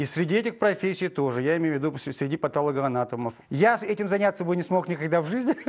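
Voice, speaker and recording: Talking at a very fast pace with hardly any pauses, a man with a high pitch and lively intonation is heard against a quiet background. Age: 50s. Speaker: actor. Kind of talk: TV interview. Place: studio. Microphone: lapel.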